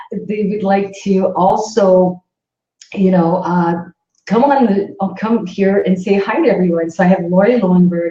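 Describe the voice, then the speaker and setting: A woman with a Canadian accent speaks at a fairly slow pace with a medium pitch and ordinary pitch variation. Her tone is dark and mellow and somewhat breathy. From Northern Ontario, Canada. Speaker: psychic medium, livestream host. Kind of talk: casual livestream chat. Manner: animated, enthusiastic.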